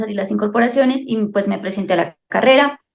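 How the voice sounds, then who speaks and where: Hers is an unremarkable speaking voice. The woman's pitch sits in the middle range and varies in an ordinary way. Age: 20s. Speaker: soldier and mother. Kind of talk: interview. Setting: video call.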